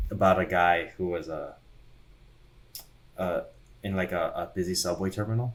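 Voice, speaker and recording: A man with a very deep, low pitch, speaking at a moderate pace with long, frequent pauses. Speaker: crypto podcast co-host. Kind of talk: casual chat. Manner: hesitant, repeats words; flat, unexcited.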